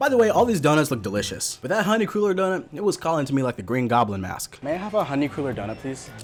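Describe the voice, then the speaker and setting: A man talks at a very fast pace in an animated tone, his pitch swinging very widely over noticeable background noise. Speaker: food vlogger. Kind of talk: vlog narration. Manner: casual, animated; whispering.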